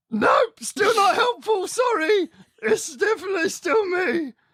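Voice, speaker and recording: The put-on character voice sits at an extremely high pitch and moves at a fairly slow pace. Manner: silly, goofy.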